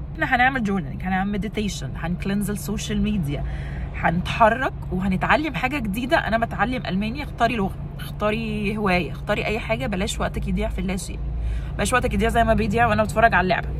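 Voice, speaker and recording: A woman races along at a very fast pace, with noticeable background noise and audible room echo around her. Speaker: lifestyle vlogger. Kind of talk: vlog talk to camera. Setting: walking in the street. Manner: loud; casual with frequent fillers and English code-switching.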